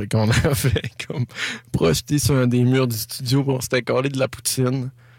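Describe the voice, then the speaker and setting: Here is a man with a normal speaking voice, talking at a moderate pace with fairly even intonation. The recording is very clean, with a silent background. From Quebec, Saint-Prime (Lac-Saint-Jean). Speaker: singer-songwriter. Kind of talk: casual interview.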